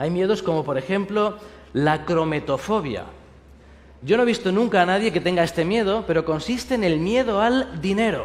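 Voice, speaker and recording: A high-pitched man with a Spanish accent, with audible room echo. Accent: Spanish (Spain). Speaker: pastor. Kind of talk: sermon.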